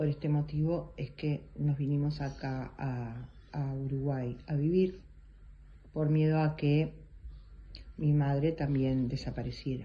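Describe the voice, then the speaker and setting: A woman speaks very slowly at a very deep, low pitch, somewhat breathy. Her intonation is monotone and flat, broken by long, frequent pauses. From Argentina. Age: 60s. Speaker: interviewee, eyewitness. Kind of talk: testimony. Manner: hesitant, with fillers.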